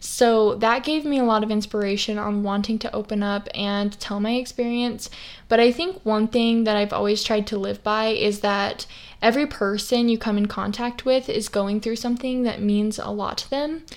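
With an American accent, a woman talks at a moderate pace in an ordinary speaking voice. Her pitch is fairly high, and her intonation is fairly even. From Idaho, US. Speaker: podcast host and western influencer. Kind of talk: casual solo monologue.

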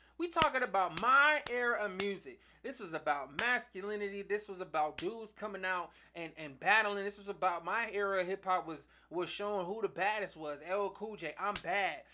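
Raised and projected, a man's high-pitched voice has a bright, sharp tone, a moderate pace, and ordinary pitch variation. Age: 30s. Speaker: podcast host. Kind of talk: solo commentary monologue. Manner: animated; halting, many fillers and repetitions.

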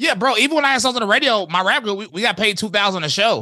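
With an American accent, a man projects loudly at a very fast pace in a bright, sharp tone, his pitch swinging very widely over a very clean recording with a silent background. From US South, High Point, North Carolina. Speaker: rapper. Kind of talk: casual chat.

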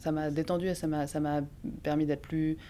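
A woman's very deep, low voice, dark and mellow in tone, at a very slow pace with monotone, flat intonation. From Geneva area, French-speaking Switzerland. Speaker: actress and playwright. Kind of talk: casual interview.

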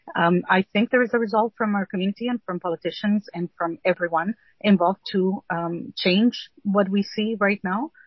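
This woman talks at a moderate pace with ordinary pitch variation. Her voice is somewhat breathy. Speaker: executive director, panelist. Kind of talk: panel discussion. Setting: phone with low battery, remote. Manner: hesitant, halting with fillers.

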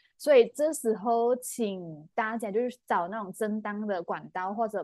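A woman's ordinary speaking voice, dry and close with no echo, against a quiet background. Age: 20s. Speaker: podcast co-host. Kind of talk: casual chat.

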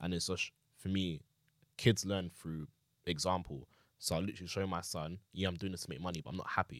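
Fairly quick speech in a London accent, broken by long, frequent pauses. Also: man, very deep, low pitch for a man. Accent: Multicultural London English. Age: 20s. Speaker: podcast guest, young father. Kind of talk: casual chat. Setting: studio.

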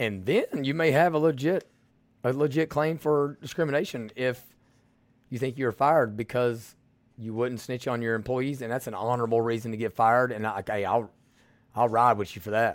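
A man with a strong Southern US accent speaks at a moderate pace in a very clean recording with a silent background. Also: medium pitch for a man, ordinary pitch variation. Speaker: podcast host. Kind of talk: political commentary monologue. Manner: blunt, direct; casual, folksy.

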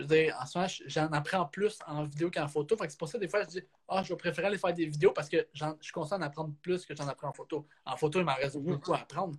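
A man's very fast speech with a Quebec accent, fairly high in pitch, with fairly even intonation and hardly any pauses. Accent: Québécois French. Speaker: photographer and videographer, hockey coach and referee. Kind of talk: casual interview.

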